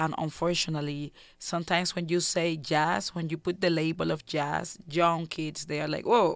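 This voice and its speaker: A woman with a fairly low pitch speaks with vocal fry. The recording is very clean, with a silent background. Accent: Cuban. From Cuba. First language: Spanish. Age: 30s. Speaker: jazz singer and composer. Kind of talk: radio interview. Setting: studio.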